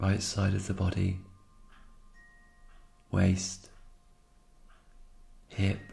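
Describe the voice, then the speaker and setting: Over music in the background, someone speaks at a very slow pace in a monotone, flat intonation with long, frequent pauses. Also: man, very deep, low pitch for a man. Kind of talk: yoga nidra guided meditation.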